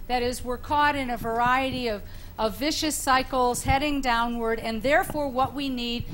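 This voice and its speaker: The woman's high pitch moves with ordinary variation, and audible echo fills the room. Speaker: panelist, leadership professor. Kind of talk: panel discussion.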